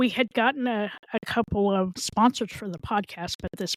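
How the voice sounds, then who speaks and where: A woman speaks with ordinary pitch variation, recorded very cleanly against a silent background with a dry, close sound and no echo. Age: 60s. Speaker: mental health advocate and podcast co-host. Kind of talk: casual interview chat. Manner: animated.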